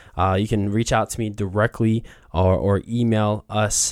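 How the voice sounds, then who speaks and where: A man with a Midwestern accent, fairly low in pitch, with fairly even intonation, in a very clean recording with a silent background. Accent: General American (Midwest). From Columbus, Ohio. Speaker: diversity, equity and inclusion advocate. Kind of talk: interview conversation. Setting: studio.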